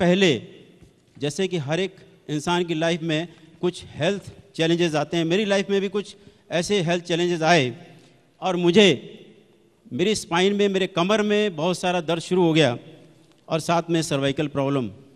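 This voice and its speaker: There are long, frequent pauses as a man talks at a high pitch with ordinary pitch variation. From Delhi, India. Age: 60s. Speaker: retired manager giving product testimony. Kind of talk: testimony speech. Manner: animated.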